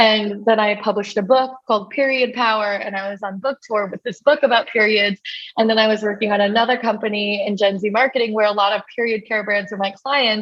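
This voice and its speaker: A woman talks at a fairly quick pace in a fairly high voice with an American accent. Her intonation stays fairly even, and hers is an unremarkable speaking voice. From New York City. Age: 20s. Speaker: entrepreneur and influencer. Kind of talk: interview. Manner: casual, filler-heavy.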